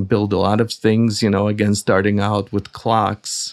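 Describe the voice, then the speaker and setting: Speech comes at a fairly slow pace in a Russian accent. The intonation is monotone and flat. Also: man. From Soviet Union, emigrated to US at 14. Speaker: audio company founder and engineer. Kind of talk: interview. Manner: halting, with fillers.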